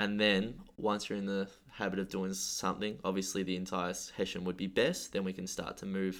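Flat, monotone intonation moves at a fairly quick pace on a very clean recording with a silent background. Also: man. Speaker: gym coach and podcast host. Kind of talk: casual chat. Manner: halting, stumbling.

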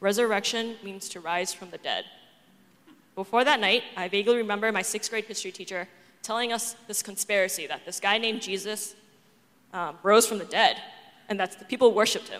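Speaking at a fairly quick pace with long, frequent pauses, a woman with an American accent uses a fairly high pitch and fairly even intonation. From Boston, US. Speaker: church member giving testimony. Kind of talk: testimony. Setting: church with congregation. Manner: reading from script.

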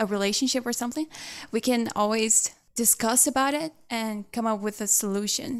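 A woman with a Portuguese accent speaks at a high pitch with ordinary pitch variation. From Brazil, big city. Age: 20s. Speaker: singer. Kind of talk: interview.

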